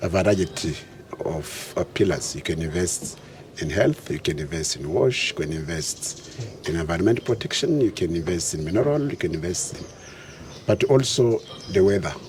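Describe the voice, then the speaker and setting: Noticeable background noise sits behind a man whose very deep, low voice carries lively intonation. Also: moderate pace. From DR Congo. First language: French. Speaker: returned diaspora investor, former aid worker. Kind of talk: interview.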